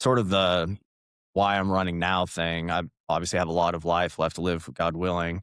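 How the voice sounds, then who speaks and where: The man's pitch is very deep and low. His intonation stays monotone and flat. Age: 30s. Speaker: political candidate. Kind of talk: interview. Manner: casual, with many fillers.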